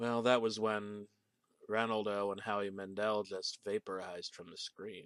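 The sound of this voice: Over a quiet background, someone reads in an unforced voice, keeping the intonation fairly even.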